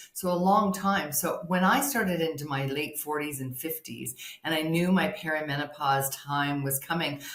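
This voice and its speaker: A woman speaks with lively intonation at a moderate pace, with audible room echo. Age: 60s. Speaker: hormone health and sex therapist. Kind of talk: interview testimony.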